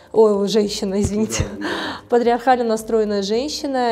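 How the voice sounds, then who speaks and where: This woman's fairly high pitch shows ordinary variation. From Tajikistan. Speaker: feminist activist and journalist. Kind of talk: interview. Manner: animated.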